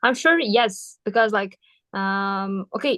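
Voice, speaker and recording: A woman speaks with a Kyrgyz accent. Her pitch is fairly high. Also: dry, close sound with no echo. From Kyrgyzstan, Batken region (south). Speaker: university student. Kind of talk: interview. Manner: hesitant with fillers.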